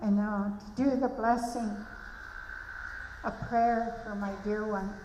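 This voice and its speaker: A woman with a British Columbia accent, fairly high in pitch, at a very slow pace with monotone, flat intonation, in audible room echo with noticeable background noise. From Malahat Nation, Vancouver Island, Canada. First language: Halkomelem. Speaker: elder giving a blessing. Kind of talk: ceremonial blessing speech.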